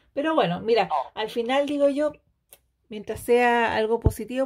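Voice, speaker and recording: A woman talks in a Chilean accent. Her pitch is fairly high. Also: big swings in loudness. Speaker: beauty product sales consultant and YouTuber. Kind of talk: casual chat. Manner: animated.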